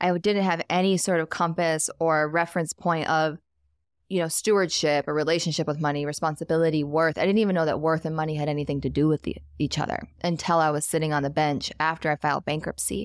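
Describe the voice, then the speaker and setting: A woman with an American accent speaks at a very fast pace in a very deep, low pitch, her intonation monotone and flat and her loudness very even. The recording is very clean, with a silent background and a dry, close sound with no echo. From US Midwest. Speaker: wealth coach and entrepreneur. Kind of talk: casual interview chat.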